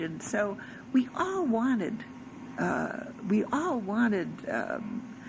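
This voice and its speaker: The voice, in an American accent, comes with noticeable background noise and audible room echo. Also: woman. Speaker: religious storyteller. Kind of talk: personal testimony.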